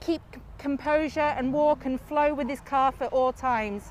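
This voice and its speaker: A loud woman's voice with a Lancashire accent, at a moderate pace with ordinary pitch variation, over noticeable background noise. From northern England, Lancashire. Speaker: livestock show judge. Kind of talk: judge's placing reasons to ringside audience. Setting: livestock show ring. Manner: loud, projecting.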